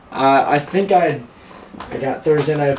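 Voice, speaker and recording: A man with an American accent speaks at a moderate pace in an animated tone, his pitch fairly high. Room echo is audible, along with noticeable background noise. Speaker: sports streamer. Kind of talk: live stream sports predictions. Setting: live stream. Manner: casual, animated; loud.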